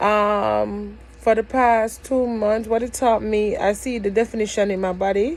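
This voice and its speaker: A woman is speaking. She has a Jamaican accent. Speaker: vlogger. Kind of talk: casual vlog. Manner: code-switching between dialect and standard English; hesitant, many fillers.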